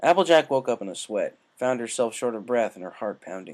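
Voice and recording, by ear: At a fairly quick pace, a man with a medium pitch and a slightly mellow tone speaks with big pitch swings.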